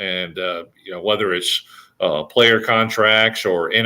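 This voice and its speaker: This man has an unremarkable speaking voice, fairly low in pitch, moving at a moderate pace with fairly even intonation. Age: 60s. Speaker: sports commentator. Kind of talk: casual sports talk. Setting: live stream. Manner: frequent fillers and restarts.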